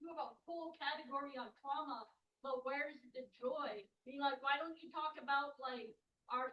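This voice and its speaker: This raised, projected voice has a bright, sharp tone and fairly even intonation. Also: woman. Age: 30s. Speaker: audience member, student. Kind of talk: audience question. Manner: loud.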